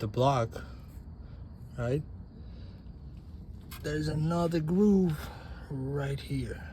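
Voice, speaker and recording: With audible room echo, a man speaks at a very slow pace, his intonation lively. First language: not English. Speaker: DIY auto mechanic. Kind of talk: tutorial. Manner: halting, repeats words; casual.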